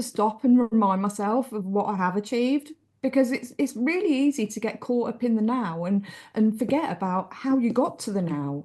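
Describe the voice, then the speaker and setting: A woman speaks with an English accent and lively intonation. Her pace is moderate and the background is quiet. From England, small town. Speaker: author. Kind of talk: interview.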